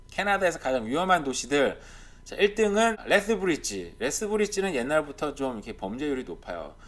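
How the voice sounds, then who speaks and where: Vocal fry marks a man's fairly high voice, which makes very wide pitch swings at a moderate pace. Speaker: YouTuber commenting on Canadian real estate and life. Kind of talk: casual commentary over on-screen data. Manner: speeding up as he gets heated.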